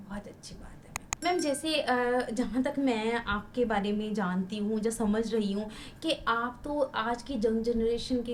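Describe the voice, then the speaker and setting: With hardly any pauses, a woman speaks at a fairly high pitch with ordinary pitch variation and big swings in loudness, against noticeable background noise. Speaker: podcast host. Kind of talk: interview questions.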